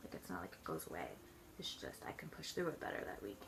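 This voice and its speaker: A woman mumbling. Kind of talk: casual talk to camera. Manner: mumbled, rambling.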